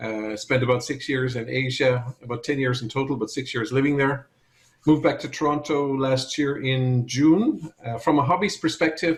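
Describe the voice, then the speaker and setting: A man with a fairly high pitch and a somewhat breathy voice keeps a moderate pace and fairly even intonation. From Ireland. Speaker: supply chain expert. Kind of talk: interview.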